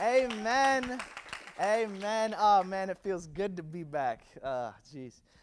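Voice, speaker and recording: Noticeable noise sits in the background. The tone is animated, with very wide swings in pitch. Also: man. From US, Virginia-born, Puerto Rican family. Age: 20s. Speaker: youth pastor. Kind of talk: high-energy youth sermon with call-and-response. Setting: stage with live audience. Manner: animated, hyping the crowd with repeated calls for amens; stammering, filler-heavy delivery full of ums and repeated words.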